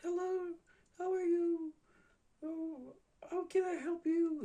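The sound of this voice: In a put-on character voice, squeaky and extremely high in pitch, someone talks at a fairly slow pace.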